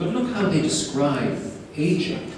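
A man's pitch swings very widely amid strong room echo and light background noise. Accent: Irish. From Ireland. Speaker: keynote speaker. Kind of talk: keynote lecture. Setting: conference stage with microphone. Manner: fast talker. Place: hall. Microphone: camera far.

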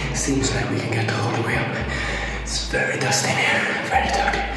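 Loud music plays in the background and audible room echo surrounds a man's voice. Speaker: explorer vlogger. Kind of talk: casual vlog chat. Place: tunnel cave. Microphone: phone near.

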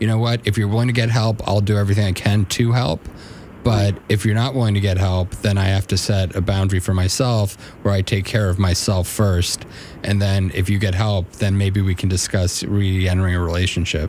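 At a fairly quick pace, a man speaks with a fairly low pitch, fairly even intonation and very even loudness, in a dry sound with no echo and light background noise. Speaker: radio show co-host. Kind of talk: advice talk on radio show. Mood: calm, earnest. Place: studio. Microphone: studio mic.

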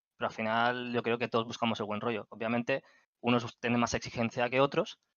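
Against a quiet background, a man talks at a fairly quick pace in a dry sound with no echo. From Spain, Catalonia (Barcelona area). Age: 30s. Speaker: gaming community moderator. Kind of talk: casual interview. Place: home room.

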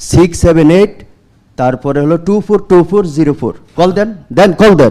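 A man's high-pitched voice carries a dark, mellow tone and lively intonation. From Bangladesh, Chandpur. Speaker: Islamic scholar and natural farming seller. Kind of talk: testimony.

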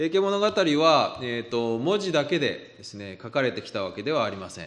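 A man with a fairly high pitch talks at a moderate pace, his voice making very wide pitch swings. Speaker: literature professor. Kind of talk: lecture. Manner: halting, many fillers.

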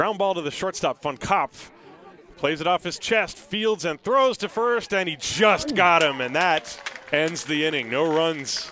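A high-pitched man with an animated tone and lively intonation, over noticeable background noise. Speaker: baseball play-by-play announcer. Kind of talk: live sports commentary, play-by-play. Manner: fast-paced, animated, rising excitement on big plays; clipped, rapid-fire play calling.

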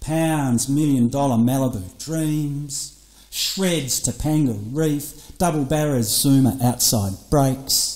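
In an Australian accent, a man speaks at a very slow pace with a fairly high pitch, a dark, mellow tone and ordinary pitch variation against a quiet background. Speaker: poet. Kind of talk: performance poetry over electronic music. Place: studio. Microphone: studio mic.

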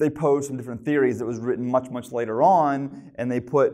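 A man at a very fast pace over a quiet background. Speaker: preacher. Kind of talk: sermon. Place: church. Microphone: lapel.

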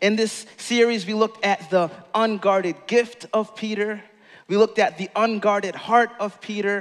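A man talks at a moderate pace in a high, monotone, flat voice. The background is quiet. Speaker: pastor. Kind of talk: sermon. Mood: warm, smiling, storytelling. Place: stage. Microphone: headset.

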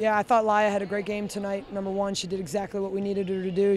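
Very fast and flat in a monotone, a woman's voice sounds dry with no echo over light background noise. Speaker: head coach. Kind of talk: interview answer. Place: stadium. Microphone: handheld.

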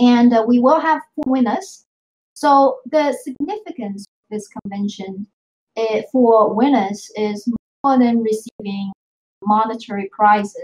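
Speaking at a fairly slow pace, a woman with a fairly high pitch sounds somewhat breathy, her pitch varying in an ordinary way. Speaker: marketing team member. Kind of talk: team meeting update. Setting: video call. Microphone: video call.

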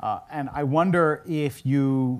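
A man talks in a plain, everyday voice, fairly high in pitch with ordinary pitch variation, against a quiet background. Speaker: rabbi. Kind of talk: onstage interview. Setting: stage with audience. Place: stage.

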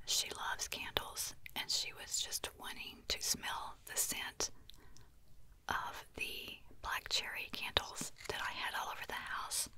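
A woman whispers at a very slow pace with light background noise. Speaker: ASMR content creator. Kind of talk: soft-spoken storytelling. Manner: intimate ASMR whisper. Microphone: studio mic.

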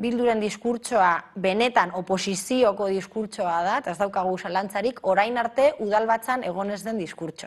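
Against a quiet background, a woman uses an ordinary speaking voice. Her pitch is medium, with ordinary pitch variation. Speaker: city councillor. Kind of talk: TV interview.

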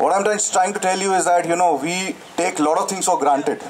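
A man talks at a fairly quick pace. Loud background noise runs beneath him. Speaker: event host addressing bikers. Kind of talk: speech to crowd. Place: street.

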